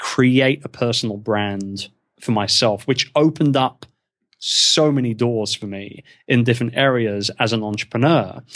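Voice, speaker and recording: A man with a British accent speaks fairly slowly at a medium pitch with ordinary pitch variation. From England. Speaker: podcaster and online business founder. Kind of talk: casual interview chat.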